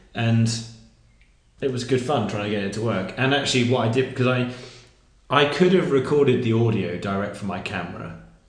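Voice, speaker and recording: At a fairly quick pace broken by long, frequent pauses, a man speaks at a medium pitch with ordinary variation, and audible room echo surrounds him. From southern England. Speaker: worship leader. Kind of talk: casual chat.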